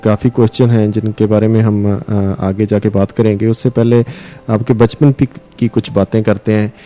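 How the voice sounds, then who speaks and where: Dry and close with no echo, the sound carries a man's dark, mellow tone. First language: Punjabi (speaking Hindi). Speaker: radio host. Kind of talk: interview. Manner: hesitant, many fillers.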